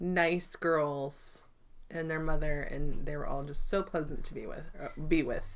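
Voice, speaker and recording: A soft-spoken woman talks with a very deep, low pitch and fairly even intonation at a fairly slow pace. Room echo is audible. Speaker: quilting vlogger. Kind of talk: casual chat. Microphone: microphone wrapped in batting to cut echo.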